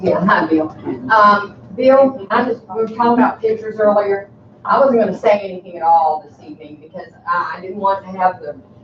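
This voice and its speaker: At a moderate pace and medium pitch, a woman talks amid noticeable background noise and audible room echo. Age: 70s. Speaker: resident speaking at council meeting. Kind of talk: public comment at council meeting. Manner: animated.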